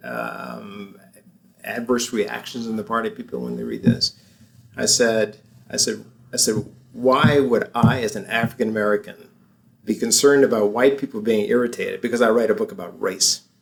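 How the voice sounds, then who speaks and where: Here a man speaks at a moderate pace. His loudness swings widely. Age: 60s. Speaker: lawyer and author. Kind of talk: interview. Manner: halting, many fillers.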